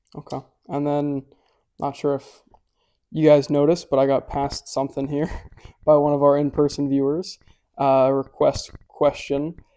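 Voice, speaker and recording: In a dark, mellow tone, a man with a fairly high pitch talks at a moderate pace in a flat monotone, leaving long, frequent pauses. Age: young. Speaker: grandson asking questions. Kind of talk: casual interview. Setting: live stream at home with in-person viewers.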